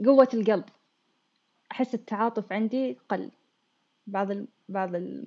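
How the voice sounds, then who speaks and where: The voice has a dark, mellow tone and ordinary pitch variation, moving at a fairly slow pace with long, frequent pauses. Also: woman, fairly high pitch for a woman. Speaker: anesthesia technologist in training. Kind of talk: casual chat.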